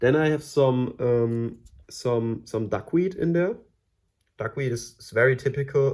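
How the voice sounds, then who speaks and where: A man with a German accent, fairly slow and with fairly even intonation, on a very clean recording with a silent background. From Germany. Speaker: aquarium hobbyist YouTuber. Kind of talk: casual tutorial tank tour. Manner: hesitant, many fillers and repetitions.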